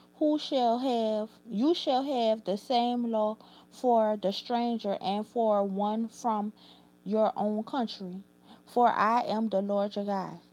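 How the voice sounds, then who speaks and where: A woman's fairly high voice with a New Orleans accent, dark and mellow, at a very slow pace with ordinary pitch variation. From New Orleans, Louisiana. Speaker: YouTuber. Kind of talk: reading aloud; casual chat. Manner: halting.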